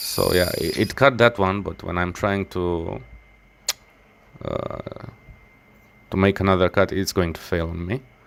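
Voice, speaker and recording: Speaking at a fairly slow pace with long, frequent pauses, a man with a non-native accent uses a very deep, low pitch and ordinary pitch variation. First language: not English. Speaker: knife maker. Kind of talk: workshop tutorial voice-over. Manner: halting, many fillers and restarts.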